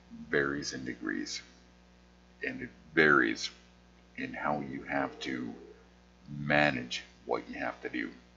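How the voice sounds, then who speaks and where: A man is speaking. He mumbles. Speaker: artist with conversion disorder. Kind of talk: casual vlog monologue. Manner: slurred words; mumbling.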